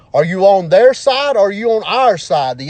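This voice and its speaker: At a moderate pace, a man talks with an Alabama accent. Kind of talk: impassioned monologue. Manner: animated.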